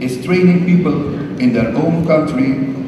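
With strong room echo and noticeable background noise, a man speaks at a fairly slow pace with ordinary pitch variation. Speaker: government minister delegate. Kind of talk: formal speech. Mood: proud, solemn. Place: hall. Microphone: podium.

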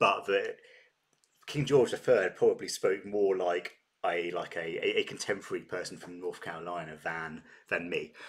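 With a southern English accent, a man talks at a moderate pace against a quiet background. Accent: British, southern English. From Britain. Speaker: reaction YouTuber. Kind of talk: casual talk to camera. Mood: cheerful, chatty. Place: home room. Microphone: webcam.

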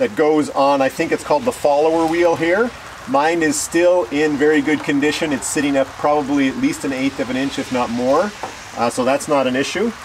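With noticeable noise behind him, a man talks at a moderate pace, his pitch varying in an ordinary way. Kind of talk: tutorial. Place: open country.

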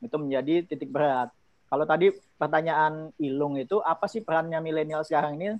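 A man at a very fast pace, fairly high pitched, with ordinary pitch variation. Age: 30s. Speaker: youth organization chief. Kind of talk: presentation. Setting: video call.

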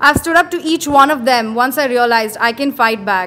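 At a moderate pace, a woman speaks in a high, bright, sharp tone with ordinary pitch variation. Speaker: spoken word poet. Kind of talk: spoken word poetry, a performed poem with a pointed, defiant, accusatory delivery. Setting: stage with audience at an open mic in a pub. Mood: earnest, defiant. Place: bar. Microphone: handheld.

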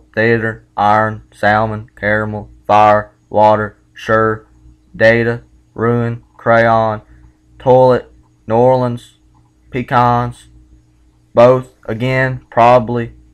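A man speaks at a very slow pace in a monotone, flat intonation. Long, frequent pauses break up his speech against a quiet background. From South Carolina, USA. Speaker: vlogger doing accent test. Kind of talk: accent test word list and questions. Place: home room. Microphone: webcam.

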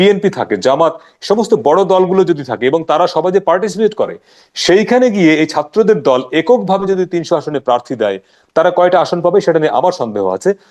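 Lively intonation runs through this man's high-pitched voice. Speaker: journalist and writer. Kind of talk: political analysis discussion. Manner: candid, outspoken.

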